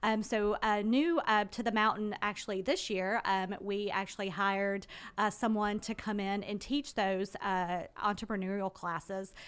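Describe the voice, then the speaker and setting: At a moderate pace, a woman with an unremarkable speaking voice of medium pitch talks in an American accent on a very clean recording with a silent background. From US South, Carrollton, Georgia. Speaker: school admissions director. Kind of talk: radio interview. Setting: radio studio.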